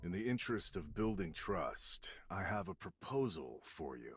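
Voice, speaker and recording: A man does a cartoonish character voice at a fairly low pitch and a moderate pace. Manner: calm, self-assured.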